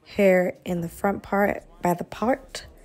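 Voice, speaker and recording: Over music in the background, a woman speaks at a medium pitch and fairly slow pace in a monotone, flat intonation. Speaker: beauty YouTuber. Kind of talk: tutorial.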